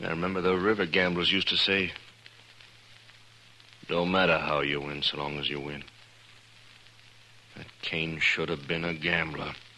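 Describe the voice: In a put-on character voice with a bright, sharp tone, the speaker moves at a fairly slow pace with little pitch movement and long, frequent pauses. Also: man, extremely low pitch for a man.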